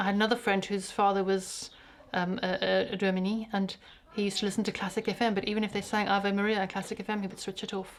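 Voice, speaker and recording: A woman with a Zimbabwean accent speaks at a medium pitch and a very fast pace, her intonation monotone and flat. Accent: African accent, like a Rhodesian. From South Africa. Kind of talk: casual interview.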